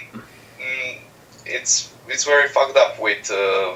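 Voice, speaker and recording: A man speaking with a non-native accent goes at a fairly slow pace, with background noise clearly noticeable. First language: not English. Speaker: caller on a live stream. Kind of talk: casual chat. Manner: halting.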